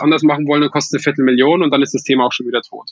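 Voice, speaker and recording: With fairly even intonation, a man talks in a fairly high pitch. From Upper Palatinate, Bavaria (Weiden). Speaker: startup founder, engineer. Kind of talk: podcast interview. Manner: frequent hesitations and repetitions.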